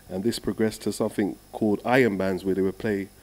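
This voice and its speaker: Speaking in a London accent, a man talks at a fairly low pitch with fairly even intonation. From London, England. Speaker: steel drum musician. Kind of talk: casual interview.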